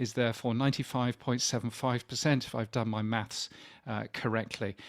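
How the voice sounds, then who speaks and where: With a British accent, a man speaks at a medium pitch in a dry, close recording with no echo. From UK. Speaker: podcast industry expert, former radio consultant. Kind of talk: online presentation talk. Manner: halting, many fillers.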